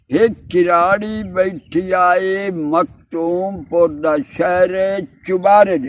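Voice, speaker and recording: This man's voice sits high, with fairly even intonation. His loudness swings widely. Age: 80s+. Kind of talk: interview answer. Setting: outdoors.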